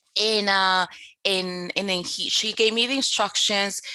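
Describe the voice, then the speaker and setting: A woman's medium-pitched voice, bright and sharp in tone, with ordinary pitch variation. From Dominican Republic. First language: Spanish. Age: 30s. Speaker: business coach. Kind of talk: podcast interview.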